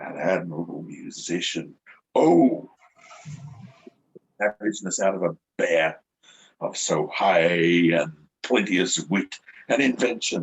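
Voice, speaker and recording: Putting on a raspy character voice, a man speaks very deep and low with lively intonation at a fairly slow pace, leaving long, frequent pauses. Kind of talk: Shakespearean stage acting. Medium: stage play.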